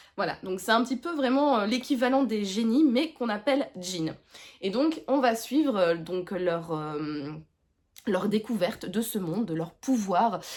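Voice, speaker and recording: A woman speaks at a fairly high pitch and a fairly slow pace. Her pitch swings very widely. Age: 30s. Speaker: book vlogger. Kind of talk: casual chat. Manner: hesitant, many fillers.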